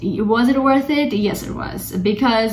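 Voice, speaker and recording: With a non-native accent and ordinary pitch variation, a woman speaks amid noticeable background noise and audible room echo. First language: not English. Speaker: vlogger. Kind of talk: casual vlog talk to camera. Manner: halting, with fillers and restarts.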